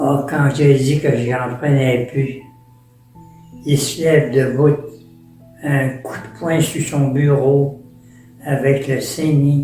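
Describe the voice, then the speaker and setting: Over music in the background, a man talks at a very slow pace in a monotone, flat intonation, leaving long, frequent pauses. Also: fairly high pitch for a man. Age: 80s+. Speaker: permanent deacon. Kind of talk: interview answer, personal storytelling.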